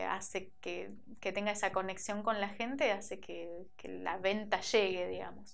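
The speaker moves at a fairly slow pace with monotone, flat intonation. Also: woman. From Argentina, Merlo, San Luis; Argentina. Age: 30s. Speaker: shoe designer and entrepreneur. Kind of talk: interview. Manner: hesitant, many fillers. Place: studio. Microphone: lapel.

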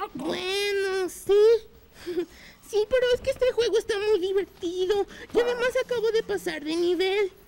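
A cartoonish character voice at an extremely high pitch, speaking at a moderate pace with long, frequent pauses. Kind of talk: children's puppet show. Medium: puppet show. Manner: startled, then agreeable.

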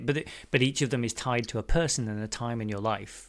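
A man in a British accent, with ordinary pitch variation. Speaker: podcast host. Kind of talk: casual interview chat. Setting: remote call with studio mic.

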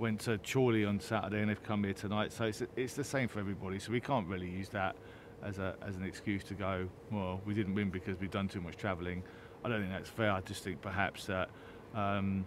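A man speaks at a fairly low pitch and a fairly quick pace. The sound is dry with no echo, but noticeable background noise is present. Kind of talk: interview answer. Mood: calm, slightly defensive. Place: stadium.

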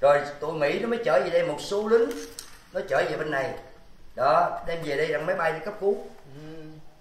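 Long, frequent pauses at a moderate pace, with audible room echo. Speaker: local resident recalling the past. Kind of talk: emotional reunion conversation. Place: home room.

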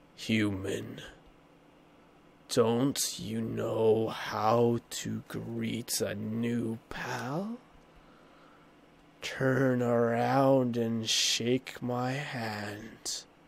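Using a put-on, raspy character voice at a medium pitch, a man speaks at a very slow pace with long, frequent pauses. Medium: game stream. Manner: laid-back, casual, drawling jokes.

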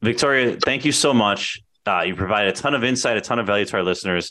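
A man with a fairly low pitch and an American accent speaks at a very fast pace in a bright, sharp tone over a quiet background. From Chicago, Portage Park; Chicago. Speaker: podcast host, real estate agent; podcast host. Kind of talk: casual interview chat. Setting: video call. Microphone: studio mic.

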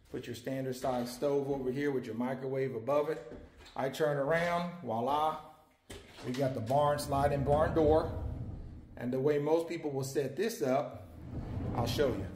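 Amid light background noise and audible room echo, a man with a fairly high pitch and ordinary pitch variation speaks at a moderate pace with long, frequent pauses. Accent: American. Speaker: cabin salesman. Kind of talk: tour guide walkthrough and sales pitch, talking to the camera. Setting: filming on location, outdoors and inside a cabin. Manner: casual, upbeat, chatty; folksy, friendly, rambling. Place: empty room. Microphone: phone near.

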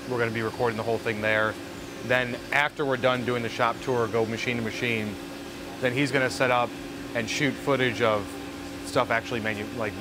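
A man talks at a fairly quick pace over noticeable background noise. The sound itself is dry, without echo. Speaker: video host planning a shoot. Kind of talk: casual planning talk. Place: workshop.

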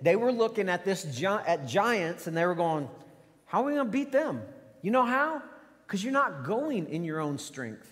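A man talks in a high pitch with very wide pitch swings. His pace is moderate, and the background is quiet. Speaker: pastor. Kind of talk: sermon. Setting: church. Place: church.

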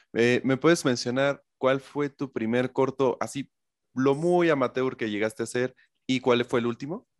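In a plain, everyday voice, a man speaks at a fairly slow pace with a medium pitch and ordinary pitch variation. The sound is dry and close with no echo, against a quiet background. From Mexico. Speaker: interviewer, film channel host. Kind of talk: interview.

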